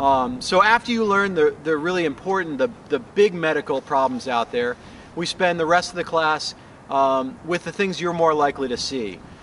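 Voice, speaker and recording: Speaking with an American accent, a man has an ordinary speaking voice, fairly high in pitch, with lively intonation at a moderate pace. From Colorado, US. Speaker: paramedic and wilderness first aid instructor. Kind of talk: promotional course explanation. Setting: outdoors on location in Finland. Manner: casual with frequent fillers.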